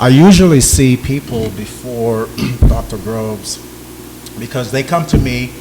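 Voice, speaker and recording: Noticeable background noise surrounds a man speaking at a medium pitch and a very slow pace. He has a slight Jamaican accent. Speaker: napropath on a panel. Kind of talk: panel talk.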